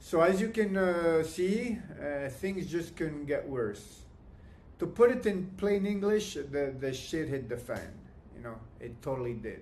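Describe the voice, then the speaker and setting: Speaking at a fairly slow pace, a man with a high pitch makes very wide pitch swings and big swings in loudness, with audible room echo around him. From Canada. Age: 60s. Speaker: client giving testimony. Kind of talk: testimony. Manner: halting, many fillers and restarts.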